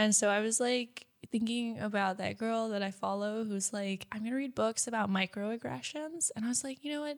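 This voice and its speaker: In an ordinary speaking voice, a woman speaks at a fairly high pitch and a moderate pace with ordinary pitch variation, recorded very cleanly against a silent background. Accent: American. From United States. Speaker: podcast co-host. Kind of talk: casual chat.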